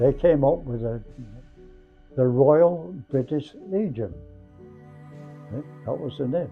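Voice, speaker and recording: Over music in the background, a speaker talks at a fairly slow pace with lively intonation. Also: man. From England. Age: 80s+. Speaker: war veteran; former combat medic. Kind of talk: spoken history reflection.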